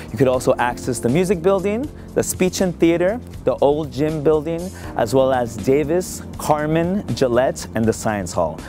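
A man at a moderate pace, the sound dry with no echo, clear music in the background. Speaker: campus tour guide. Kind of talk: tour presentation to camera. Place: street.

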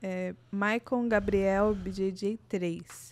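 A woman's voice at a medium pitch. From Brazil. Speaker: podcast host. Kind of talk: reading out listener questions; casual chat. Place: studio. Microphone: studio mic.

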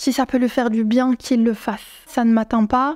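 A woman's dark, mellow tone at a moderate pace, fairly even in intonation, with a quiet background. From France. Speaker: YouTuber; vlogger. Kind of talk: vlog to camera; casual vlog chat. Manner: hesitant, many fillers. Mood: firm, indignant but calm. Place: home room. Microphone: lapel.

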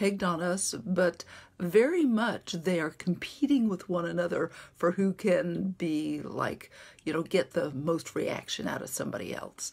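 This woman's pitch is fairly low. Her pitch varies an ordinary amount. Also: fairly slow pace. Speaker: self-help vlogger. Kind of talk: casual vlog chat. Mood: warm, animated. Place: home room. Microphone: phone near.

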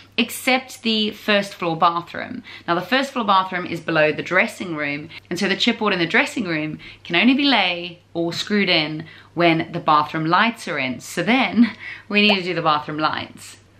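A woman with a fairly low pitch talks at a moderate pace with lively intonation. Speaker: home renovation vlogger. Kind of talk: casual vlog chat. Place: home room. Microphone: phone near.

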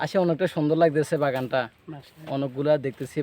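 A man with an ordinary speaking voice and fairly even intonation. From Bangladesh, Noakhali. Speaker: visitor. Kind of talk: vox pop interview. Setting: outdoors at a tea garden.

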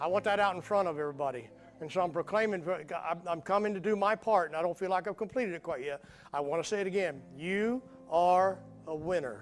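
The speech goes at a very fast pace with ordinary pitch variation. Faint music plays in the background. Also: man, high pitch for a man. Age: 60s. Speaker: pastor. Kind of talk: sermon. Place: church.

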